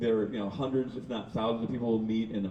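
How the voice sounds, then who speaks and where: Fairly even intonation from a male speaker, plus audible room echo and noticeable background noise. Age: 60s. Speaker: artist and urban explorer. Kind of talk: casual chat.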